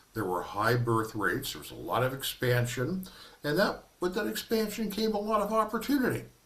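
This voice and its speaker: A man with a fairly high pitch talks at a fairly quick pace, his pitch swinging very widely. His loudness swings a lot, and audible room echo surrounds him. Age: 70s. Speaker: minister giving a workshop presentation. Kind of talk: lecture.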